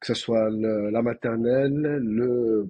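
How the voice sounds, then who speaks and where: With a Toulouse accent, the speaker keeps a fairly even intonation. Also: man. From France, Toulouse. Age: 30s. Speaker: doctor. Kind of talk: podcast interview. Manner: halting, many fillers.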